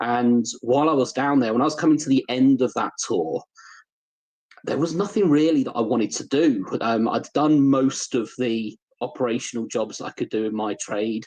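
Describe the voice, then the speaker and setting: A man with a British accent talks at a moderate pace in a medium pitch. His pitch varies in an ordinary way. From United Kingdom. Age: 40s. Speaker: leadership development specialist, ex-air force. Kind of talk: podcast interview.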